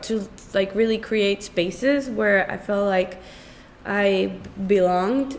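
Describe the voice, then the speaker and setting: Someone with an American accent talks at a very slow pace with ordinary pitch variation. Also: woman. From Bogota, Colombia, then New Jersey. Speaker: artist. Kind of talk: interview. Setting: studio. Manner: loud.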